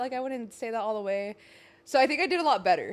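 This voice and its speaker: Her speech is very fast. The woman's high pitch swings very widely. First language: Spanish. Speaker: podcast co-host. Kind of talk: casual chat. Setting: studio.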